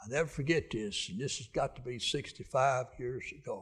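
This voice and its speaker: Speaking at a moderate pace, a man with a Southern US accent sounds somewhat breathy. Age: 80s+. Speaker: preacher. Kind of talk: sermon. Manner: halting.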